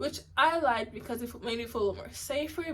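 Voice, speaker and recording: Her voice has vocal fry, and the woman's pitch rises and falls an ordinary amount. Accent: American. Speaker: university student. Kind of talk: casual talk to camera. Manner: stuttering.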